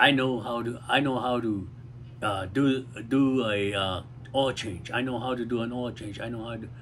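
Somewhat breathy, a man speaks at a fairly slow pace. Light background noise can be heard. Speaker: community talk host. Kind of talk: casual talk, advice. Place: garden. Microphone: phone near.

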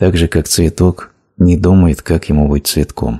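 Speaking at a very slow pace, a man with a very deep, low voice and a dark, mellow, somewhat breathy tone is heard on a very clean recording with a silent background. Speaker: voice-over narrator of a translated spiritual talk. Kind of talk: reading aloud a translated spiritual lecture.

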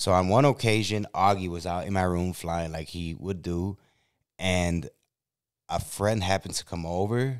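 A man's very deep, low voice with a Chicago accent over a quiet background. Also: ordinary pitch variation, moderate pace. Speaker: YouTube podcast host. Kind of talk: casual chat; casual storytelling conversation. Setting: in a car. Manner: animated. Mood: animated, humorous storytelling. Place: studio. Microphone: studio mic.

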